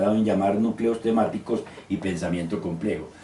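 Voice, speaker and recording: Audible room echo hangs on this voice. The man talks at a moderate pace. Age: 60s. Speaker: university professor. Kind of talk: lecture.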